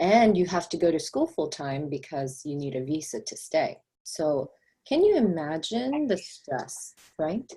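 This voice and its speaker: In a Korean accent, a woman speaks fairly slowly at a fairly low pitch, somewhat breathy and dark, mellow in tone, with very wide pitch swings. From South Korea, moved to US at about five. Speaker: real estate agent. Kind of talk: interview testimony.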